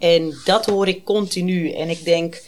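A plain, everyday voice at a fairly slow pace, with fairly even intonation. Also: woman. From Amsterdam. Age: 30s. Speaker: guest with lived experience of borderline. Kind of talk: personal testimony in casual interview.

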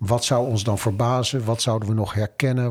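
A man speaks at a moderate pace in a medium pitch. His voice is somewhat breathy, with fairly even intonation. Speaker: podcast host. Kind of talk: casual chat.

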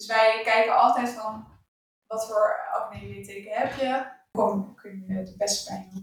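A plain, everyday voice, a woman's, fairly high in pitch with ordinary pitch variation, a fairly slow pace and big swings in loudness. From Netherlands. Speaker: skin therapist. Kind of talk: casual conversational interview. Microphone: poorly set mic, harder to understand.

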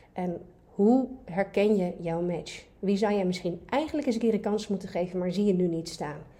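A woman talks at a moderate pace with a dark, mellow tone. Her voice is somewhat breathy, with ordinary pitch variation. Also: medium pitch for a woman. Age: 40s. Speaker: dating coach. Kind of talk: casual chat.

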